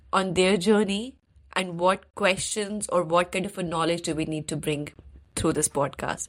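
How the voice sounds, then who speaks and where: A woman's medium-pitched voice with an Indian accent. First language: Hindi. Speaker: podcast host. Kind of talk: interview.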